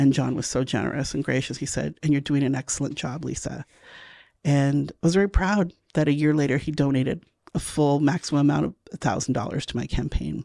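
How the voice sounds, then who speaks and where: In a very clean recording with a silent background, a woman speaks fairly quickly with a very deep, low pitch, a dark, mellow tone, vocal fry and ordinary pitch variation. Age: 50s. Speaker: city council candidate. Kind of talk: interview.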